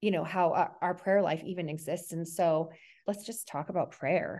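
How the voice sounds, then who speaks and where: Over a quiet background, a woman speaks at a medium pitch and a fairly slow pace, her tone dark and mellow with ordinary pitch variation. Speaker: podcast host and wellness coach. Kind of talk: interview, faith-based conversation.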